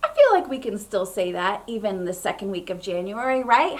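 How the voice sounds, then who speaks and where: Audible room echo hangs around this woman as she talks. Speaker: children's ministry leader. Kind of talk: children's church segment. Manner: animated.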